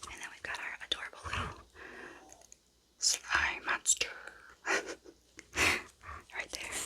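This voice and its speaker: An extremely high, raspy put-on character voice at a very slow pace. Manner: exaggerated, playful monster voice.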